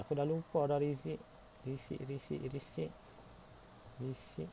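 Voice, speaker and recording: A somewhat breathy man at a fairly slow pace, with a northern Malaysian accent. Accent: northern Malay dialect. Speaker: gaming YouTuber. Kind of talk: tutorial. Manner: casual, filler-heavy.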